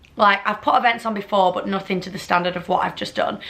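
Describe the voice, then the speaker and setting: In a Lancashire accent, a woman speaks with a bright, sharp tone. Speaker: vlogger. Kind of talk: casual chat. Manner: animated.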